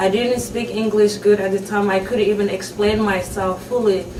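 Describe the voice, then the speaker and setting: A woman talks in a monotone, flat intonation. There is noticeable background noise along with audible room echo. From Somalia. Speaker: refugee mother. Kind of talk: testimony. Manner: halting.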